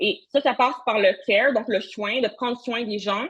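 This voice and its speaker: Her pitch variation is ordinary as this woman speaks. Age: young. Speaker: social work researcher. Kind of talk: conference talk. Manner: fast.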